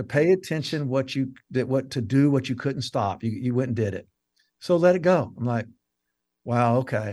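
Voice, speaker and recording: A man with an American accent has an unremarkable speaking voice, a medium pitch, ordinary pitch variation and a moderate pace. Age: 60s. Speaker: counselor and author. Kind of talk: casual interview.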